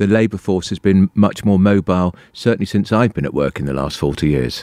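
With a southern English accent, a man speaks fairly quickly in a very deep, low voice of dark, mellow tone, the sound dry and close with no echo. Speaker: radio host. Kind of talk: radio interview.

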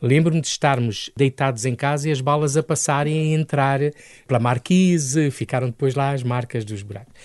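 Against a quiet background, a man talks at a moderate pace in a fairly high voice with ordinary pitch variation, the sound dry and close with no echo. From Angola, then Lisbon area, Portugal. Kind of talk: radio interview. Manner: animated, energetic.

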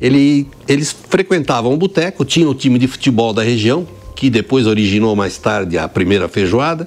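A man talks at a medium pitch with very wide swings in it. His loudness stays very even. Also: moderate pace. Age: 70s. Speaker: restaurant co-owner. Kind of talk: interview.

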